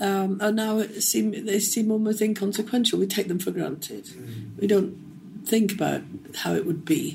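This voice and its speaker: The tone is dark and mellow. Vocal fry runs through the voice. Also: woman, medium pitch for a woman, fairly even intonation, moderate pace. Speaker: retired physicist and manager. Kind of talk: interview.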